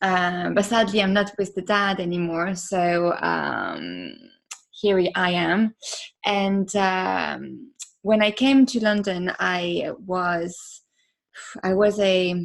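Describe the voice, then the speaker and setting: A woman with a French accent speaks at a very slow pace and medium pitch. Her intonation stays fairly even. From France. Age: 30s. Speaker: podcaster. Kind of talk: interview.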